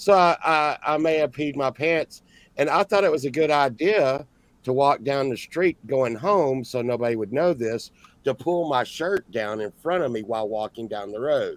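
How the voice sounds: A man at medium pitch, moderate pace and lively intonation.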